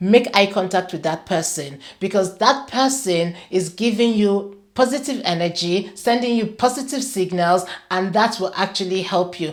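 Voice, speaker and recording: Hardly pausing, a woman with a plain, everyday voice speaks at a moderate pace and medium pitch with ordinary pitch variation. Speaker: career coach and show host. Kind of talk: talking-head advice video.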